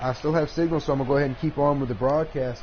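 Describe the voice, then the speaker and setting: The speaker has a Southern US accent. Noticeable background noise can be heard. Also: man. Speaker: gaming live streamer. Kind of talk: live gameplay commentary. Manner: casual, halting with fillers.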